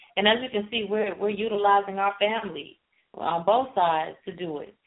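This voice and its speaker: A woman with an unremarkable speaking voice and an American accent, at a moderate pace with ordinary pitch variation. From Chicago. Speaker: radio co-host. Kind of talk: casual chat. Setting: internet radio show.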